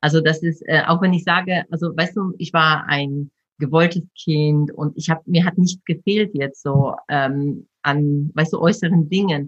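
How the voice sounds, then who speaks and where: Dry and close with no echo, a woman's somewhat breathy voice comes at a fairly slow pace with a fairly low pitch and fairly even intonation. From Poland until age 12, then Germany. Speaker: personal development coach and speaker. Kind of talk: interview conversation.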